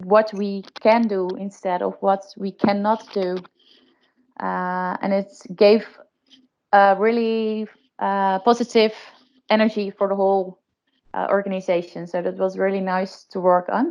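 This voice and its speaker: Using a flat, monotone delivery at a medium pitch, a woman speaks at a fairly slow pace with long, frequent pauses. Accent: Dutch. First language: Dutch. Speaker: case presenter, insurance innovation. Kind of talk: webinar case presentation. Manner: hesitant, many fillers.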